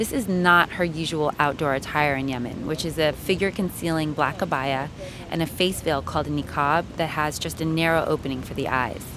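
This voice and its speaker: A woman's very deep, low voice with fairly even intonation over noticeable background noise. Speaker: radio producer. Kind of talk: radio narration.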